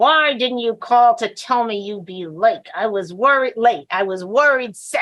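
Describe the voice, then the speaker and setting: Putting on a character voice, a woman speaks with a fairly high pitch and lively intonation at a moderate pace, with hardly any pauses. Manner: through gritted teeth, suppressed anger.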